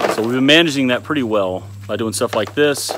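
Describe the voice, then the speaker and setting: A man talks with ordinary pitch variation in a dry sound with no echo, over noticeable background noise. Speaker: homesteading vlogger. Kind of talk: casual vlog chat. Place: garden. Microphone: phone near.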